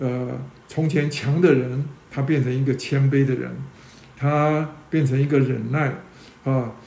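Speaking at a very slow pace, a man has a fairly high pitch and a dark, mellow tone. His voice is somewhat breathy, with audible room echo around it. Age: 60s. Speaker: church teacher. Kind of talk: sermon. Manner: halting, many fillers.

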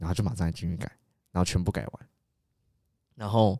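A man talks at a very fast pace in a very deep, low voice with a dark, mellow tone. The recording is very clean, dry and close, with a silent background and no echo. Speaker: podcast co-host. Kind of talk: casual chat.

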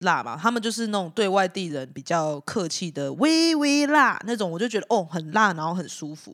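A woman at a moderate pace with very wide pitch swings, on a very clean recording with a silent background. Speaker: band guitarist. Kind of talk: casual chat.

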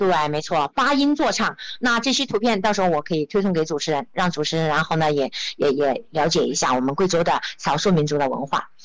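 A woman's fairly low voice with lively intonation, a fairly quick pace and very even loudness. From Guizhou, China (Zunyi). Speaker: travel entrepreneur and social media creator. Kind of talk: interview. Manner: hesitant, many fillers.

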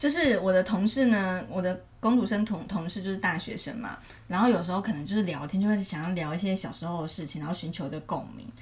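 A woman talks at a very fast pace with medium pitch, ordinary pitch variation and big swings in loudness, and the room echo is audible. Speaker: podcast co-host. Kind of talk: casual chat.

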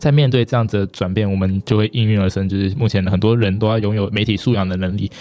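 This man has a fairly low pitch with ordinary pitch variation. It is a normal speaking voice. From Taiwan, Taipei. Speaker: student union president. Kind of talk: interview.

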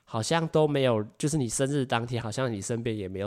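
A man is heard on a very clean recording against a silent background. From Taiwan. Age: 20s. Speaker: podcast host. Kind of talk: solo podcast monologue. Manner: animated.

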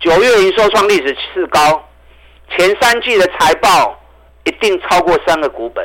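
This man's voice is high-pitched and animated. His intonation is lively. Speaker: stock market analyst. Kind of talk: radio investment commentary.

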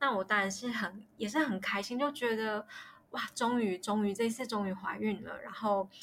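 At a moderate pace, a woman with a fairly high voice keeps a fairly even intonation. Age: 30s. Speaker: miscarriage story guest. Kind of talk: personal testimony interview. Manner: halting, many fillers.

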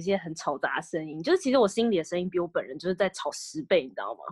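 In a dry, close sound with no echo, a woman speaks very fast with very wide pitch swings. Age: 20s. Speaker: podcast co-host. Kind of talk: casual chat.

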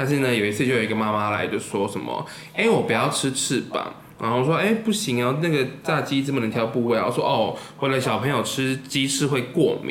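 Over noticeable background noise and audible room echo, a man with a medium pitch talks at a very fast pace with lively intonation. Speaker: podcast host. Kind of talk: casual chat.

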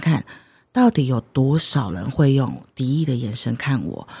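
Her voice is dark, mellow and somewhat breathy, heard in a dry, close sound with no echo. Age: 30s. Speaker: tarot card author and healer. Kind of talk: interview.

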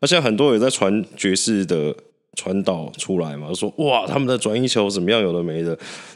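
In a fairly low, husky voice, a man speaks at a fairly quick pace with lively intonation. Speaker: podcast co-host. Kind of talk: casual chat.

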